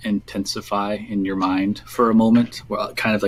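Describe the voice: This is plain reading aloud. Its intonation stays fairly even.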